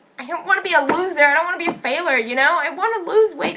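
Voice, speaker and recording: Very fast and raised, projected, a woman's extremely high-pitched voice carries ordinary pitch variation above noticeable background noise. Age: 20s. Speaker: film school student and vlogger. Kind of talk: personal vlog monologue.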